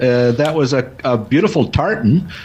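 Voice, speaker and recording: Noticeable background noise under a man at a moderate pace with very wide pitch swings. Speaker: podcast host. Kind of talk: interview question.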